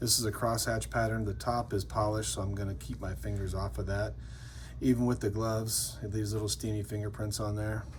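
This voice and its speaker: A fairly low-pitched man, fairly quick and with lively intonation, amid audible room echo. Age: 50s. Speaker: custom metal maker and channel host. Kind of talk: product showcase video. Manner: casual and enthusiastic.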